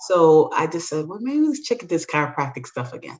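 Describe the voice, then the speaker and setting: This woman has an unremarkable speaking voice pitched fairly low. She talks at a fairly quick pace with lively intonation. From Brooklyn, New York (Jamaican family). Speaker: chiropractor and instructor. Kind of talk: interview conversation.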